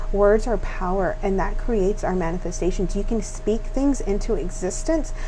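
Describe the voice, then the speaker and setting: The voice shows ordinary pitch variation, with noticeable background noise and audible room echo. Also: woman. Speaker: tarot reader. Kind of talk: tarot reading monologue. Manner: fast; hesitant, many fillers.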